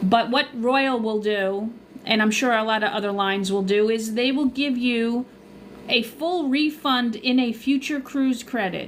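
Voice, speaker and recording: A woman speaks with a Long Island accent at a fairly high pitch. Her pace is fairly slow, with ordinary pitch variation. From Long Island, New York. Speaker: cruise vlogger and travel agent. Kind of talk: live stream Q&A. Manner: casual, chatty.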